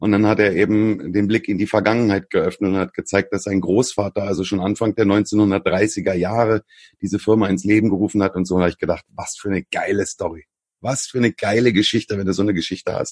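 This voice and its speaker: A man speaks in a normal speaking voice, fairly low in pitch, at a fairly quick pace. The intonation is fairly even, and the sound is dry and close with no echo. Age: 40s. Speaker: online marketing consultant. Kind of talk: interview conversation.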